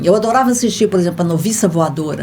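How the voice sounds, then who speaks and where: Her somewhat breathy voice shows very wide pitch swings as this woman speaks. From Goiás, Brazil. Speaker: voice actress and dubbing translator. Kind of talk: interview.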